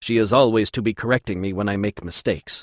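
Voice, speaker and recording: A man's growling, put-on character voice, fairly low in pitch, with fairly even intonation and a very fast pace, in a dry, close sound with no echo against a quiet background. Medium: read story.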